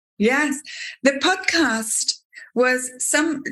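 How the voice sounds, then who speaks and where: In an English accent, the voice has a bright, sharp tone and lively intonation. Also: woman. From UK. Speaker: podcast host and teacher. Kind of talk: interview conversation.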